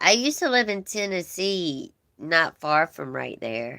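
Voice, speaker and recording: A woman speaks with a Southern US accent at a very slow pace. The recording is very clean, with a silent background. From US South, Georgia. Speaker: livestream host. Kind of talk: casual chat with live viewers. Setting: livestream.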